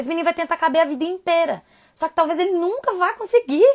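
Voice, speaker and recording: A loud woman at a fairly quick pace. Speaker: parenting educator. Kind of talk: live stream talk. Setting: home live stream. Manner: fast.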